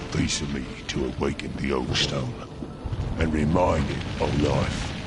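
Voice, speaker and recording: A man in a cartoonish character voice at a moderate pace, with loud background noise. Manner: slow, grave, archaic.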